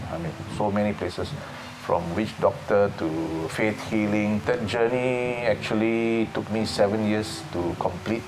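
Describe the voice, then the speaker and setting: A man with a fairly low pitch speaks at a moderate pace. The recording carries audible room echo and noticeable background noise. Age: 60s. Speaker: para powerlifter and fitness coach. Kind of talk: interview testimony. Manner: hesitant, with fillers.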